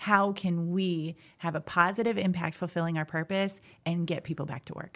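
A woman with an American accent speaks in an unremarkable speaking voice at a moderate pace and fairly low pitch. Her intonation is fairly even, while her loudness swings widely. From US Midwest, southern Indiana. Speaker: life coach. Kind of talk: podcast interview. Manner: frequent laughter.

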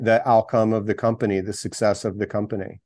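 This is a normal speaking voice. A man talks at a medium pitch with fairly even intonation. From US, Philadelphia area. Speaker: startup founder and investor. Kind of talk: interview.

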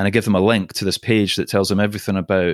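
Someone with a Scottish accent talks at a very fast pace, recorded very cleanly over a silent background with a dry, close sound and no echo. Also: man. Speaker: podcast host and storytelling team-building trainer. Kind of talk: casual interview chat.

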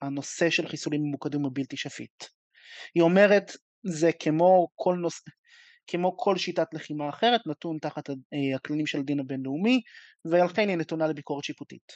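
His fairly high voice moves at a moderate pace with ordinary pitch variation. The man leaves long, frequent pauses. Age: 20s. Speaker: law student. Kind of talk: audience question. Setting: video call.

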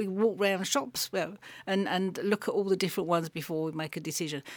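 A woman with an English accent, medium pitch and ordinary pitch variation, on a very clean recording with a silent background. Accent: non-Yorkshire English. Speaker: radio and podcast interviewer. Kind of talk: interview conversation. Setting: studio.

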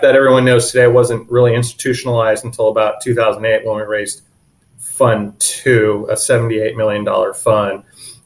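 A somewhat breathy man's voice at medium pitch, with an American accent. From San Diego, California. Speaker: private investment fund principal. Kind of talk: interview.

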